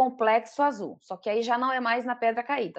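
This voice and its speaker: A woman talks at a moderate pace with a fairly high pitch. The background is quiet. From Pará, northern Brazil. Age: 40s. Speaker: traveller sharing a trip. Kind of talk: interview. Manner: halting.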